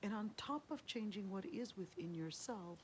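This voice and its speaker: Somewhat breathy and in a warm, gentle tone, a woman speaks at a fairly slow pace. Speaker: Islamic studies scholar and lecturer. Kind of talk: Islamic lecture, encouraging talk to camera. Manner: warm, gentle, soft-spoken.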